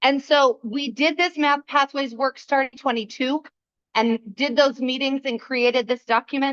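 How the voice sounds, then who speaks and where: Loud and dry with no echo, the close sound carries a woman's high pitch and fairly even intonation. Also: moderate pace. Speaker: school principal. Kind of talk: presentation at a school board meeting. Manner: loud projecting teacher voice. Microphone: no microphone, speaking from the back.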